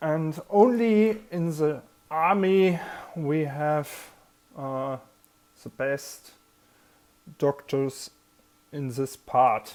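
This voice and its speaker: Very slow and broken by long, frequent pauses, a woman's very deep, low voice comes through with a German accent. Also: lively intonation. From Germany. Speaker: army veteran. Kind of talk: personal vlog talk. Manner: halting.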